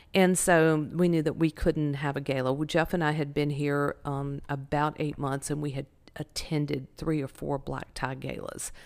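In a Southern US accent, a woman with a very deep, low pitch speaks flatly in a monotone at a moderate pace with hardly any pauses on a very clean recording with a silent background. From North Carolina, Winston-Salem. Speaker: charity director. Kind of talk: interview.

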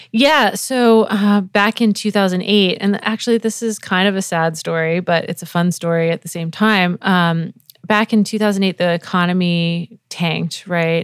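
With an American accent, a woman talks at a moderate pace in an unremarkable speaking voice of medium pitch, her pitch varying in an ordinary way. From New England. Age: 40s. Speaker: music producer and live show designer. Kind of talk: casual interview. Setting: her studio.

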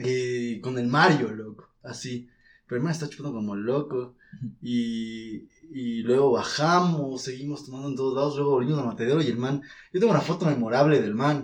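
A man speaks at a moderate pace with a medium-pitched, unremarkable speaking voice. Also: ordinary pitch variation. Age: 20s. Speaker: film student. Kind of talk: casual chat.

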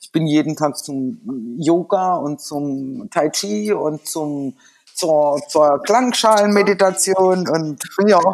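A woman speaks very slowly in a very deep, low voice. Her intonation is lively, and her loudness swings widely. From Germany, rural village. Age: 50s. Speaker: psychotherapist in training. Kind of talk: casual chat.

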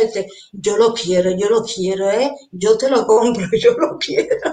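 Lively intonation marks this woman's speech. Her pitch is fairly high, and her pace is fairly slow. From Venezuela. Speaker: mandala artist. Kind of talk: interview.

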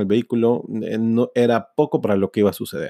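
Dry and close with no echo, the recording captures a man with a dark, mellow tone, fairly low pitch and fairly even intonation. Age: 40s. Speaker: sales trainer. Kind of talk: personal storytelling monologue.

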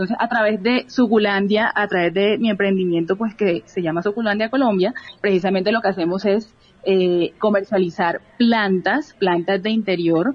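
A woman speaks at a moderate pace and medium pitch with a strong Barranquilla accent. Her loudness stays very even and her intonation fairly even. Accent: Barranquilla coastal accent, still strong. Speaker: youth organization director, entrepreneur. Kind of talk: radio interview.

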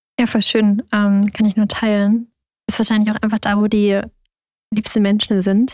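A woman with a fairly high, somewhat breathy voice speaks at a moderate pace in a monotone, flat intonation, with long, frequent pauses and a dry, close sound with no echo. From Germany. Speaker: podcast host. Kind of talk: casual chat.

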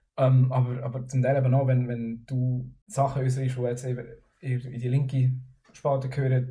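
The speech comes at a moderate pace. Audible room echo can be heard. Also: man. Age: 20s. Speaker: music student. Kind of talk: casual chat.

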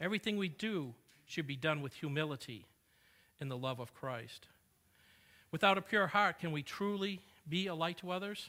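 On a very clean recording with a silent background, a man with a high-pitched, bright, sharp voice and lively intonation speaks at a moderate pace, with long, frequent pauses. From New England. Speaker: preacher. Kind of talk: sermon. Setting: church.

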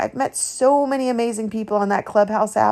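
A woman speaks at a moderate pace with a fairly high pitch. Hers is a plain, everyday voice. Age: 50s. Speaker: faith podcast host. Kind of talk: personal testimony monologue.

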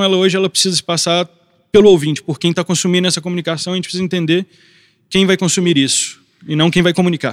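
A man's high-pitched, very fast voice with fairly even intonation, dry and close with no echo. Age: 20s. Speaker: photographer. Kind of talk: panel discussion.

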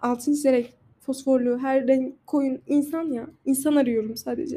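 Her voice high and dark, with a mellow tone, a woman speaks fairly slowly with fairly even intonation. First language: not Turkish (speaking Turkish). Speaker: podcaster. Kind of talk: casual monologue. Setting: outdoors on a balcony.

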